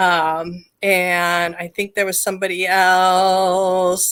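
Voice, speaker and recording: Loud and bright with a sharp tone, a woman speaks at a medium pitch on a very clean recording with a silent background. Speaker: psychic medium and live show host. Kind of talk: live stream chat. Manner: animated.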